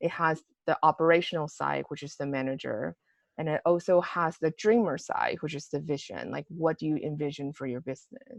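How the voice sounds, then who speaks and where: The sound is dry and close, with no echo, as a woman with a very deep, low pitch and vocal fry speaks. She talks at a fairly quick pace with ordinary pitch variation. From Taiwan. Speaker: home staging educator and podcaster. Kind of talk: podcast interview.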